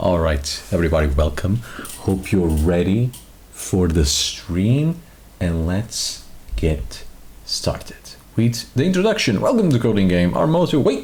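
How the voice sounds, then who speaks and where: A soft-spoken man talks at a fairly slow pace. Audible room echo surrounds his voice. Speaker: vtuber streamer. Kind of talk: live stream chat.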